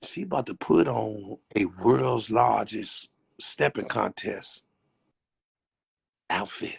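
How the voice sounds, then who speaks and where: The pace is very slow. A man speaks with long, frequent pauses. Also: dry, close sound with no echo. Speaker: show host. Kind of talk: casual interview. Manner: stammering repetitions.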